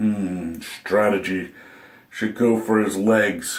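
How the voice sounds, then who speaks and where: A put-on character voice from a man, raspy and fairly low-pitched, at a very slow pace. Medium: solo performance.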